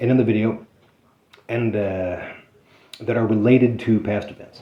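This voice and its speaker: A man talks at medium pitch with monotone, flat intonation. His loudness swings widely. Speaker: citizen journalist and activist, criminal defendant. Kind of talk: casual conversation with attorney. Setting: attorney's office meeting. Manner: fast; hesitant, many fillers.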